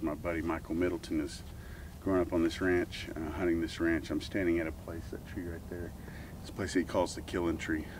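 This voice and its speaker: Fairly quick and monotone, a man speaks with flat intonation and a very deep, low pitch. The sound is dry with no echo, though background noise is noticeable. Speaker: website host. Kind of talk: casual outdoor talk to camera. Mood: calm, slightly wistful. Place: open country.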